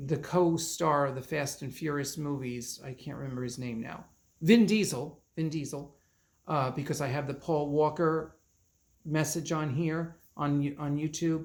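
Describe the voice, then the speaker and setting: A man with a plain, everyday voice speaks at a fairly slow pace. His pitch is fairly high and his intonation fairly even. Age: 60s. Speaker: psychic medium. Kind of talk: reading aloud channeled messages and casual commentary.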